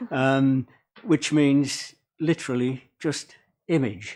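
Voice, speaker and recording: A man with an English accent speaks at a very slow pace in a fairly high pitch with ordinary pitch variation, on a very clean recording with a silent background. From England. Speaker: public submitter. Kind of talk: public hearing submission. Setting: council meeting with audience.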